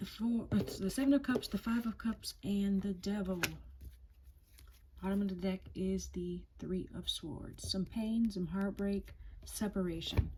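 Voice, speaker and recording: A woman speaks at a fairly slow pace in an ordinary speaking voice, her intonation fairly even. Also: medium pitch for a woman. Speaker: tarot reader. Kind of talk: tarot reading.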